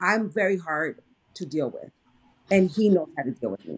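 Woman's normal speaking voice, fairly low in pitch with ordinary pitch variation, at a moderate pace. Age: 40s. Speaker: friend of the host. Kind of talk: casual chat.

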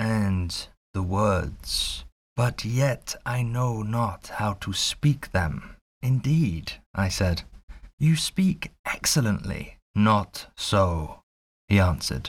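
A man with a fairly low pitch speaks in a theatrical, anxious tone, sounding somewhat breathy. The recording is very clean, with a silent background. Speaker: audiobook narrator. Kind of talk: audiobook narration of a classic novel, with a spoken channel intro. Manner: actor's expressive delivery.

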